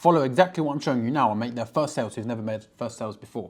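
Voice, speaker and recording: You hear a man speaking. His intonation is lively. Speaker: online business coach. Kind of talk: screen-recorded tutorial. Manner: fast; high energy.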